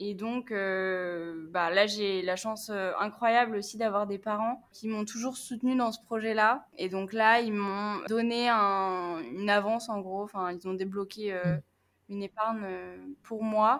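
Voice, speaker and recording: A woman speaks at a very slow pace. Her pitch is medium and her intonation fairly even. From northern France, Picardy. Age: 20s. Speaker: traveller and volunteer. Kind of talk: casual interview.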